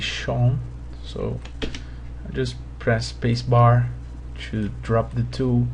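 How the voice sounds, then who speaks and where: The speaker has a Portuguese accent. Background noise is noticeable. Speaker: 3D modeling tutor. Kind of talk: tutorial. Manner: halting.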